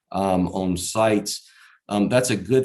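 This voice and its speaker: With a very deep, low pitch and a Southern Virginia accent, a man speaks in fairly even intonation on a very clean recording with a silent background. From Southside Virginia. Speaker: conference speaker, erosion control contractor. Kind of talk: conference presentation. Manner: many fillers and repetitions.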